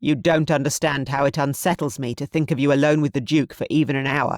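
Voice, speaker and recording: A man in a put-on character voice growls at a very fast pace, pitched fairly high with fairly even intonation. The sound is dry and close, with no echo. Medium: read story. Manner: hard, brooking no argument.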